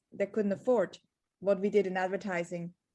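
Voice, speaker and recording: A woman with a slight Swiss accent speaks at a medium pitch with fairly even intonation. The background is quiet. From Switzerland. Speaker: entrepreneur and marketing author. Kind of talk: podcast interview.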